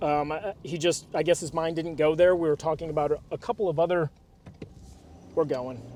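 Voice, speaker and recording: A man at a fairly high pitch and moderate pace, with ordinary pitch variation, amid noticeable background noise. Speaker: car detailing business owner. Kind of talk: casual vlog narration. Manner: animated.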